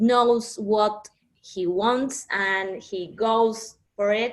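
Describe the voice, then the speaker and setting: With a Spanish accent, a woman talks using ordinary pitch variation. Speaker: actress. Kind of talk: interview. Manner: halting.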